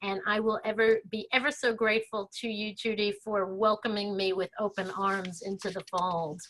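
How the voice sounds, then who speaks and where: A woman with an American accent, an ordinary speaking voice, medium pitch, fairly even intonation, moderate pace and hardly any pauses. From Brooklyn, New York. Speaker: webinar host. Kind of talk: introduction.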